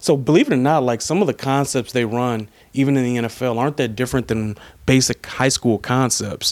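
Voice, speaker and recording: The recording is very clean, with a silent background. A man with a normal speaking voice talks at a fairly quick pace, his pitch medium with ordinary variation. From Detroit, Michigan. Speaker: sports writer. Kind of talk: casual interview. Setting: in person.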